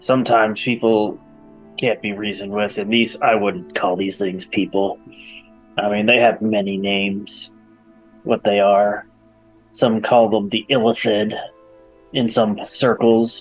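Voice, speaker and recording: A man puts on a character voice pitched fairly low, speaking at a moderate pace with long, frequent pauses. Faint music plays in the background. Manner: gruff, boastful, casual.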